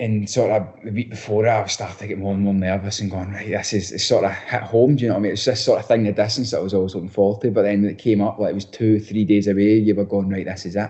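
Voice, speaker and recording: A man in a strong Scottish accent, monotone and very fast, over noticeable background noise. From Scotland, Bellshill area. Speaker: professional footballer. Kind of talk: podcast interview. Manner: halting, many restarts.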